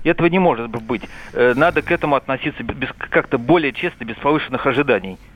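A man's fairly high voice rushes along at a very fast pace, its pitch varying in an ordinary way. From Veliky Novgorod, Russia. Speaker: radio caller. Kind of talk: call-in comment. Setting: phone call. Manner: animated.

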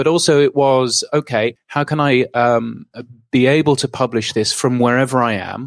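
A man with a British accent speaks at a moderate pace in a medium pitch, his intonation fairly even and the sound dry and close with no echo. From England. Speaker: podcast news publisher. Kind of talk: interview.

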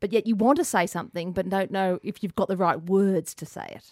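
In an Australian accent, a woman speaks at a fairly quick pace in a very clean recording with a silent background and a dry, close sound with no echo. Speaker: radio presenter. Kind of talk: radio interview. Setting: radio studio.

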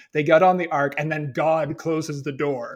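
Speaking in an ordinary speaking voice, a man holds a fairly high pitch, a moderate pace and fairly even intonation. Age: 30s. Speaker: podcast co-host. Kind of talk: casual chat.

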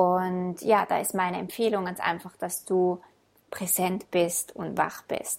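A woman talks at a medium pitch in a warm, calm tone. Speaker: podcast host and self-love coach. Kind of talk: guided meditation. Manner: slow, calm, soothing, gentle pacing with pauses; warm, intimate, addressing listener as du.

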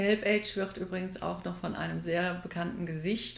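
Audible room echo surrounds a woman speaking at a moderate pace and medium pitch. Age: 60s. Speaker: triathlete and office assistant. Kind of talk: casual interview.

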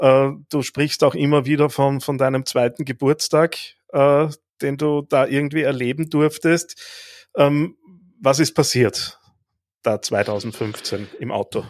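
A man speaks very slowly with a fairly high pitch and fairly even intonation, pausing long and often, in a very clean recording with a silent background and a dry, close sound with no echo. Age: 40s. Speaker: podcast host and coach. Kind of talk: interview conversation. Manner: hesitant with fillers and repetitions.

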